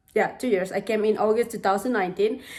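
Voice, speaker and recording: A woman's voice with an Indonesian accent and ordinary pitch variation. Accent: foreign accent from Indonesian. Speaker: home renovation vlogger. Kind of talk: casual vlog narration.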